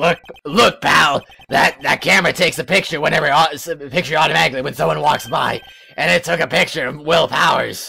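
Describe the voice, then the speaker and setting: This man puts on a character voice at a fairly high pitch. He talks at a fairly quick pace with ordinary pitch variation. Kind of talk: strained comic put-on voice. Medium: game stream. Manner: bossy, scolding.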